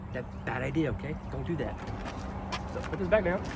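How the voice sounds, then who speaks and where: A man with a northern US accent speaks with lively intonation. Noticeable background noise and audible room echo surround him. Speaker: powersports dealership salesman. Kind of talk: product walkaround demo. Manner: fast; casual, chatty.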